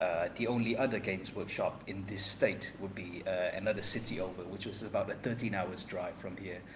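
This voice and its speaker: With audible room echo behind him, a man talks at a fairly quick pace with hardly any pauses. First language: not English. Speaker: podcast guest, wargaming hobbyist. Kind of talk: casual chat. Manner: halting, many fillers.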